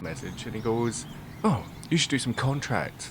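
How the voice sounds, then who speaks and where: Medium pitch and vocal fry mark this man's voice. He talks at a moderate pace. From Scotland. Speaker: gamer. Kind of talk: casual let's play commentary.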